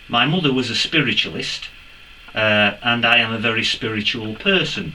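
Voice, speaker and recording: Noticeable background noise surrounds a man speaking in an English accent. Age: 60s. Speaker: metal detecting youtuber. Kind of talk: casual vlog Q&A.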